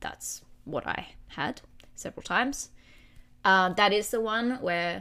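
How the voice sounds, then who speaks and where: An animated woman with an Australian accent, a bright, sharp tone and ordinary pitch variation, on a very clean recording with a silent background. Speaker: podcast host sharing her recovery story. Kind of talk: personal confessional chat about eating disorder. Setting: home recording with noisy neighbors. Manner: animated, candid, swears.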